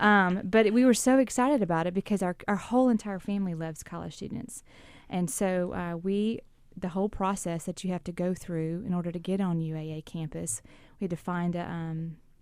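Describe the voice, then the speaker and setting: Someone with a Southern US accent talks at a fairly quick pace, using ordinary pitch variation. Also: woman, medium pitch for a woman. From South Louisiana. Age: 40s. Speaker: campus minister. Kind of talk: radio interview. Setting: radio studio.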